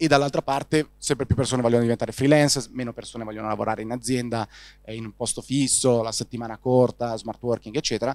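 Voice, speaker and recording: Over a quiet background, a man talks very fast at a medium pitch with fairly even intonation, the sound dry with no echo. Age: 30s. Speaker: startup founder and CEO of a news platform; guest. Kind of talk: interview. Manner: halting, frequent fillers and repetitions. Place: hall. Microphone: handheld.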